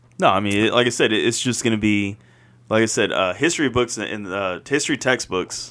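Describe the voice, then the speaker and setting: In a very clean recording with a silent background, a man talks at a fairly quick pace in a normal speaking voice, fairly low in pitch with ordinary pitch variation. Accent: American. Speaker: podcast co-host. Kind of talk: casual chat.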